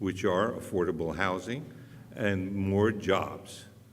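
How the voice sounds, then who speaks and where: The man's voice is loud and fairly low in pitch. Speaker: city council candidate. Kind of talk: candidate debate. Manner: plain-spoken, outspoken.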